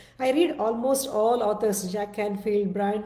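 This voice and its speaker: Someone speaks at a fairly slow pace with a Telugu accent. Audible room echo and noticeable background noise fill the recording. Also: woman. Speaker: self-development speaker. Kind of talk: casual monologue (live video). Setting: live-streamed video. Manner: halting, many fillers and restarts.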